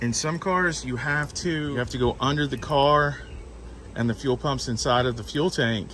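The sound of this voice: A man talks at a moderate pace. His medium-pitched voice has ordinary pitch variation.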